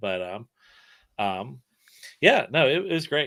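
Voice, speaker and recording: With a slight Southern US accent, this man speaks at a medium pitch with very wide pitch swings, a bright, sharp tone and vocal fry. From Alabama, between Mobile and Birmingham. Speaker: creator and storyteller. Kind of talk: casual chat.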